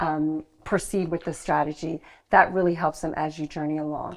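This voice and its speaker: Over a quiet background, a woman speaks in an ordinary speaking voice with an American accent. Her pace is moderate and her intonation fairly even. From US, New York. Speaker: estate agent. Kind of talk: interview.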